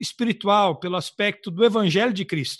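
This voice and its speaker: A man in a dry, close recording with no echo and a quiet background. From southern Brazil. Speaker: missionary podcast co-host. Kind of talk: casual religious chat.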